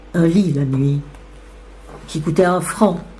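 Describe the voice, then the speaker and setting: A woman's fairly low voice, ordinary pitch variation, a very slow pace, and noticeable background noise. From Belgium. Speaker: actress. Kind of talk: literary reading.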